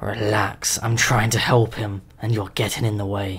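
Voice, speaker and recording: A man puts on a growling character voice, fairly low in pitch. His intonation stays monotone and flat, at a moderate pace. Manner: annoyed.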